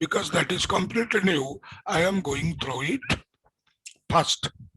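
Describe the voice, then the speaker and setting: A high-pitched man with an Indian accent, lively intonation and a fairly slow pace, in a dry, close sound with no echo. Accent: Indian English (Odia). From India, Odisha. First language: Odia. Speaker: physics teacher. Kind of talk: lecture. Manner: repetitive, halting.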